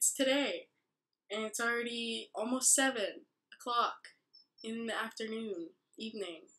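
Pitched high, a woman speaks at a fairly slow pace with ordinary pitch variation. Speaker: vlogger. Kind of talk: casual vlog. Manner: soft-spoken; rambling. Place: home room. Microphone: webcam.

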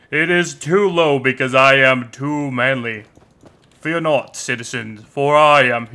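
A put-on character voice from a man, medium-pitched and fairly slow in pace. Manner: boastful heroic.

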